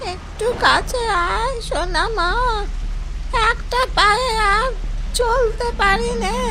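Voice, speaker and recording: A cartoonish character voice talks at a very slow pace over loud background noise. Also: female-sounding voice, extremely high pitch for a woman. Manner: sweet, coaxing old-woman voice.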